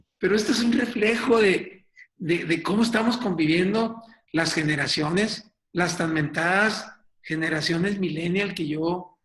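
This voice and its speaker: A man speaks with high pitch and ordinary pitch variation. There is audible room echo. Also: fairly slow pace. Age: 60s. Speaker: business coach and speaker. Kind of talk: webinar presentation. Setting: online webinar.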